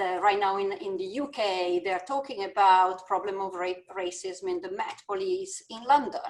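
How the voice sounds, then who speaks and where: With an Italian accent, a woman speaks at medium pitch with fairly even intonation. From Italy. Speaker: business school dean. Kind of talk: panel discussion.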